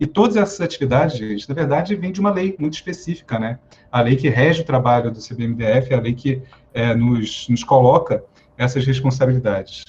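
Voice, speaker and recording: A somewhat breathy man talks at a fairly quick pace, his intonation lively. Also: medium pitch for a man. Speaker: fire brigade officer and psychologist. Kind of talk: lecture. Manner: fast.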